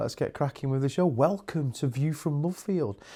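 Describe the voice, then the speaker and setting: This man has a dark, mellow tone and a British accent. The recording is very clean, with a silent background. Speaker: stand-in podcast host. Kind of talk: casual commentary review.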